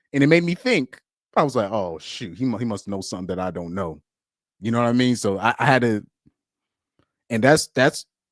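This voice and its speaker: The voice has an animated tone, recorded with a dry, close sound and no echo. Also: man. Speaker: streamer reacting to a debate. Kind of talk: casual live reaction commentary. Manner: animated, repetitive with restarts.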